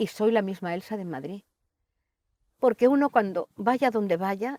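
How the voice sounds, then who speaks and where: In a dry, close recording with no echo, a woman with a dark, mellow tone and medium pitch talks at a fairly slow pace, her intonation lively and her loudness swinging widely. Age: 70s. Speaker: poet. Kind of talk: interview conversation.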